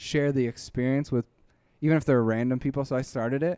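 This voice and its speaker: In a plain, everyday voice, a man speaks at medium pitch and a moderate pace, with a dry, close sound and no echo. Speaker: YouTuber, dubber and musician. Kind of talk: casual interview.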